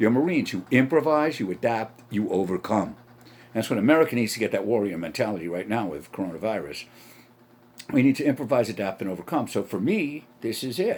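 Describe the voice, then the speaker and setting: A man speaks with a New York accent in an animated tone. His pitch swings very widely at a fairly quick pace. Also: medium pitch for a man. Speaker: comedian and podcaster. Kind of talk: solo podcast monologue. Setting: home setup with camera. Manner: animated, stream of consciousness.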